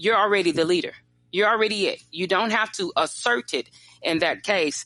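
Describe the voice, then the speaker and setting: A woman with an American accent, a bright, sharp tone, lively intonation and a moderate pace. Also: medium pitch for a woman. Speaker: leadership consultant. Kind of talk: interview.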